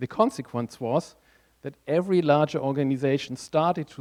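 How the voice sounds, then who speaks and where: In a German accent, a man speaks at a fairly high pitch, with a dry, close sound and no echo. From Germany. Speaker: conference speaker, tech strategist. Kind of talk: conference talk.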